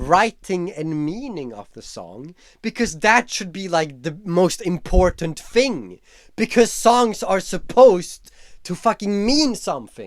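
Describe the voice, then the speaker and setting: A man speaks at a high pitch and fairly slow pace, with very wide pitch swings and big swings in loudness. The recording is very clean, with a silent background. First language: not English. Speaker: YouTuber. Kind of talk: casual vlog commentary. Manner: casual, with filler words.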